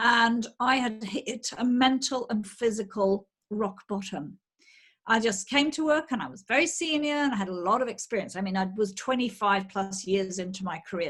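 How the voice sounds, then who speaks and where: A woman talks with a British accent and ordinary pitch variation. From UK. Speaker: menopause coach. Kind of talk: interview.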